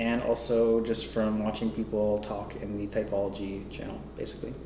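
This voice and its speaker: A man speaks with a fairly low pitch and fairly even intonation. Noticeable background noise and audible room echo surround him. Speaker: vlogger. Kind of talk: personal vlog monologue. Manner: monotone; hesitant, many fillers.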